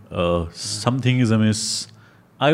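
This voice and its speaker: A man with an Indian accent and very wide pitch swings. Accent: Indian English, Hindi-English code-switching. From India, Delhi. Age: 30s. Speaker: magician. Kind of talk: casual chat.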